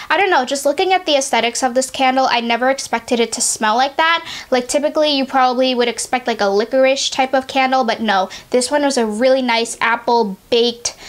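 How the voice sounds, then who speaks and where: A woman speaks at a very fast pace with hardly any pauses, her pitch high and its variation ordinary. Her loudness stays very even, and there is noticeable background noise. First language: not English. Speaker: beauty and candle reviewer. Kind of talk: casual product review vlog. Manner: chatty, many fillers.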